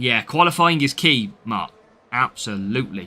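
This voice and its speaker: This man has a British accent and a bright, sharp tone. He talks at a fairly slow pace with very wide pitch swings. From Britain. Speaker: mobile game streamer. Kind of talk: live gameplay commentary with chat. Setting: live stream.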